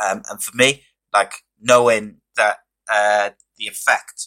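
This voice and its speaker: A man's fairly low, bright, sharp voice in a flat monotone, with a dry, close sound and no echo. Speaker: podcast host. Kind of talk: casual interview chat.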